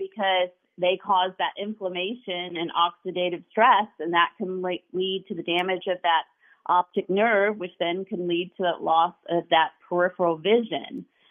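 This is a normal speaking voice. The pace is moderate. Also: woman. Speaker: eye doctor and nutritionist. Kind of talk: radio call-in health talk.

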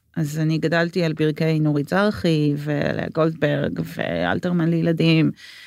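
A woman speaks with a very deep, low pitch and fairly even intonation at a fairly slow pace. Her loudness stays very even, with hardly any pauses. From Israel, Jerusalem. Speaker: book and script editor. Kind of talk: interview conversation.

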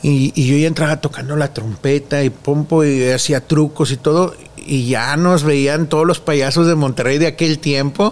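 Through noticeable background noise, a man speaks at a fairly slow pace with fairly even intonation. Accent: Mexican. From Mexico. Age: 40s. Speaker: children's clown. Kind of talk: interview.

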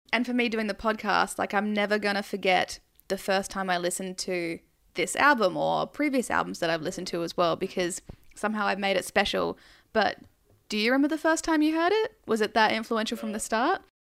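In a very clean recording with a silent background, a woman with an unremarkable speaking voice and a medium pitch talks at a fairly quick pace with lively intonation. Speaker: podcast host. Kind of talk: casual interview chat.

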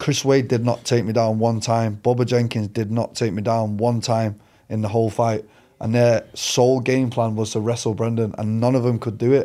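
In a Mancunian accent, a man speaks fairly quickly at medium pitch, his intonation monotone and flat. His tone is dark and mellow, on a very clean recording with a silent background. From Manchester, England. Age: 30s. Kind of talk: casual interview.

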